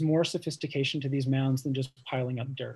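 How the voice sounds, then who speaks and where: Fairly even intonation from a man with a fairly high pitch. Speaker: architecture curator and professor. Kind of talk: lecture. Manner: fast, self-described mumbling; hesitant, many fillers.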